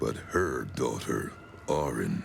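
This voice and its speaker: A man performs a put-on character voice against clear background noise. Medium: video game. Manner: menacing, deliberate.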